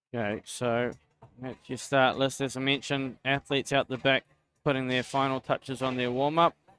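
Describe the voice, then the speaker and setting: With music in the background, a man speaks at a medium pitch in a monotone, flat intonation, the sound dry and close with no echo. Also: moderate pace. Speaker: sports commentator. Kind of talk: live commentary.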